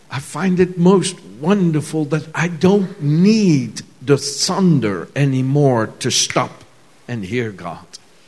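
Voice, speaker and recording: Through noticeable background noise, a man speaks very slowly at a fairly high pitch with lively intonation. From Netherlands. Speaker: visiting preacher. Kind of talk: sermon. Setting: church stage with audience, speaking through an interpreter.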